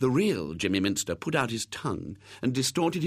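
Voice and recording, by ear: Reading aloud in a natural voice, nothing more.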